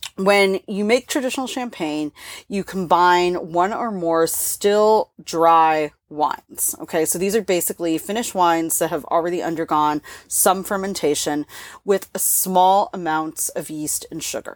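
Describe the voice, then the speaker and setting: Fairly slow speech with ordinary pitch variation comes through a very clean recording with a silent background and a dry, close sound that has no echo. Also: woman, fairly low pitch for a woman. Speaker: wine podcast co-host. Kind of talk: casual chat.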